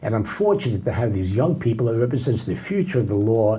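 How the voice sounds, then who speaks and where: A man speaks at a fairly quick pace with lively intonation and a dark, mellow, somewhat breathy tone. Audible room echo surrounds his voice. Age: 80s+. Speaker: federal judge. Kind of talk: casual interview.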